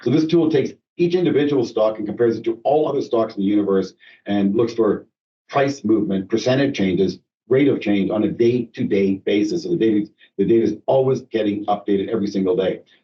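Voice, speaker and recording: Talking at a very fast pace, a man uses lively intonation at a medium pitch. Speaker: financial advisor / portfolio manager. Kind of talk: investment webinar presentation. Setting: conference call. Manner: halting with many fillers.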